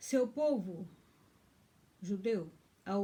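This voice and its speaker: A woman talks at a medium pitch with ordinary pitch variation, her tone dark and mellow and somewhat breathy. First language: German (now dominant) (speaking Portuguese). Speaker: pastor. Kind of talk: bible teaching, partly reading aloud. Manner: halting.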